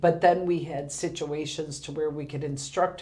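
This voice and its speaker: In audible room echo, a woman talks at a moderate pace with a fairly low pitch. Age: 50s. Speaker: senior center director. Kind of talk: casual interview.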